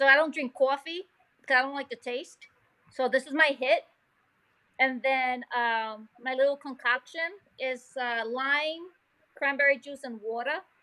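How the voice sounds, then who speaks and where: Projecting a raised voice, a woman speaks at a fairly slow pace in a high, bright, sharp tone, with big swings in loudness and long, frequent pauses. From New York, Puerto Rican family (Nuyorican). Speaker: molecular geneticist and science teacher. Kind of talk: casual interview. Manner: animated.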